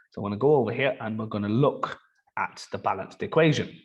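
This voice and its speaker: A man speaks very fast with an Irish accent. His intonation is lively. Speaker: chemistry teacher. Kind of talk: tutorial.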